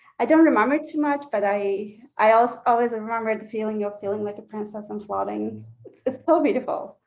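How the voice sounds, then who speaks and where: Fairly quick speech with a Turkish accent. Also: woman, fairly high pitch for a woman, ordinary pitch variation. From Turkey, Istanbul. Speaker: belly dancer. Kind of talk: interview. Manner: halting.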